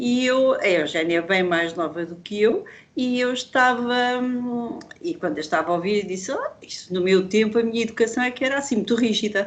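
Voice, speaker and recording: With an unremarkable speaking voice, a woman speaks at a fairly high pitch and a moderate pace with lively intonation. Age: 60s. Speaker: workshop participant. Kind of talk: casual chat. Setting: video call.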